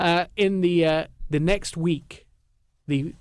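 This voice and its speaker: Using an English accent, a man speaks at a fairly high pitch with lively intonation. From England. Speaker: radio show host. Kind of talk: casual radio chat.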